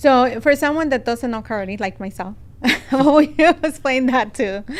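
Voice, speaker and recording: Speaking with a Spanish accent, a woman uses a high pitch, a moderate pace, and ordinary pitch variation. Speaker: podcast host. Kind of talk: interview. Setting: studio.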